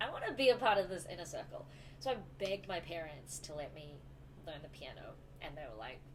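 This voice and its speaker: Talking at a very fast pace over noticeable background noise, a woman leaves long, frequent pauses and swings widely in loudness. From New Zealand, Auckland. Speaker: musician, classically trained flutist. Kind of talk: casual chat.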